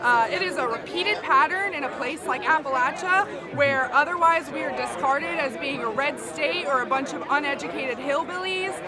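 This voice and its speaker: A woman's high, raised, projected voice at a fairly quick pace, with lively intonation, hardly any pauses, crowd noise in the background and audible room echo. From West Virginia. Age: 20s. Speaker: climate activist. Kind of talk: street interview.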